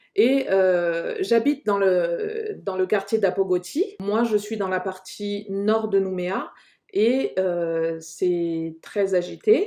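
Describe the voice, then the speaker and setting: At a very slow pace, a woman speaks in a dark, mellow tone at medium pitch with ordinary pitch variation. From New Caledonia, Kanak, Lifou. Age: 30s. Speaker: podcast host. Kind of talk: casual discussion.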